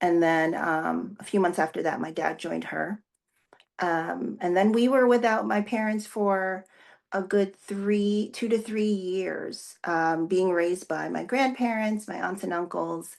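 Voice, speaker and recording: A woman speaks with a New Jersey accent at a medium pitch and fairly slow pace. Her pitch varies normally, and the background is quiet. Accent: American, New Jersey. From New Jersey, US (from age 7; born in the Philippines). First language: Tagalog. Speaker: pastor. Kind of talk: interview. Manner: hesitant, many fillers.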